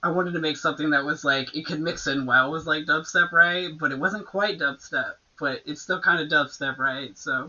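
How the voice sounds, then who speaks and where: A woman with a slight Southern US accent speaks at a very deep, low pitch. Her intonation is fairly even and her pace moderate. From Florida panhandle, US South. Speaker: electronic music producer and DJ. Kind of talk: casual interview chat. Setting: live stream with music playing.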